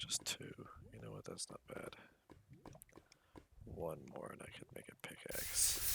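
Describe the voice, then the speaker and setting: Soft-spoken and fairly slow, the speaker leaves long, frequent pauses over noticeable background noise. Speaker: gaming youtuber. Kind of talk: gameplay commentary. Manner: casual, rambling.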